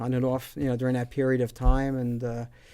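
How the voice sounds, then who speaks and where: A man with a New Jersey accent, medium in pitch. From northern New Jersey. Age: 60s. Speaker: musician. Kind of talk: casual chat. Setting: live stream from music shop.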